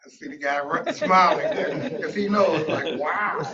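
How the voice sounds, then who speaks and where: A man with a high voice speaks at a fairly slow pace, his intonation lively. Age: 70s. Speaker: motivational speaker and pastor. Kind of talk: motivational talk.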